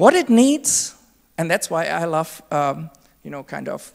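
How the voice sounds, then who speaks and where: In a very clean recording with a silent background, a woman with a German accent speaks at a moderate pace, her pitch swinging very widely. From Germany. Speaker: conference speaker. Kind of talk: keynote talk.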